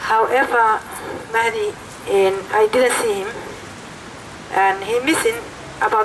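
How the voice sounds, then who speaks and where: A woman's fairly high, fairly slow voice with a non-native accent, over noticeable background noise. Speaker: protest speaker, mother of detainee. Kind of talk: protest speech. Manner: halting.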